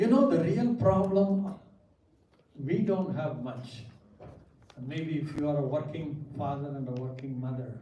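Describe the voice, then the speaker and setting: A man with a Tamil accent speaks fairly slowly with long, frequent pauses, lively intonation and a fairly high pitch, over noticeable background noise and audible room echo. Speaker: pastor. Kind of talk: seminar lecture. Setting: church with audience.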